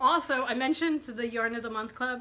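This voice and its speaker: A woman talks at a fairly quick pace. The room echo is audible, and there is noticeable background noise. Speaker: podcast host. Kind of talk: casual chat.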